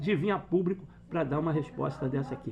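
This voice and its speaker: A man speaks at a fairly quick pace with a fairly high pitch. His tone is dark and mellow, with vocal fry. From Brazil. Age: 60s. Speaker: football fan commentator. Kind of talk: opinion rant. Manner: animated.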